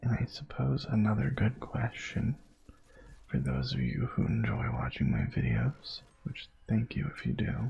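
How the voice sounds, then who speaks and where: The man's delivery is fairly slow. Behind him, background noise is noticeable. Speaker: gaming ASMR youtuber. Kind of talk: casual chat. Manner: soft-spoken; halting.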